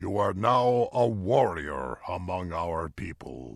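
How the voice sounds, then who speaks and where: Using a growling, put-on character voice, a man speaks fairly slowly at a very deep, low pitch with very wide pitch swings, in a very clean recording over a silent background. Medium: read story. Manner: slow and deliberate.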